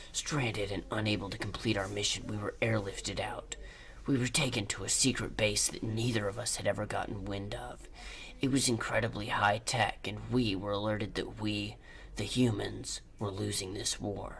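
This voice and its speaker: A man with a fairly low pitch talks at a moderate pace over clear background noise. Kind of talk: hard-boiled voice-over. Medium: solo performance. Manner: gruff, solemn.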